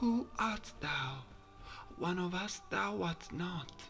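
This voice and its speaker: A man puts on a character voice that is high-pitched, soft-spoken and breathy, with clear background noise behind him. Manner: slow, soft, ethereal.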